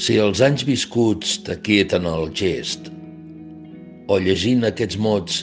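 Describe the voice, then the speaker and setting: Over music in the background, a man speaks at a very slow pace with long, frequent pauses. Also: fairly low pitch for a man, ordinary pitch variation. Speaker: actor. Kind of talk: poetry reading.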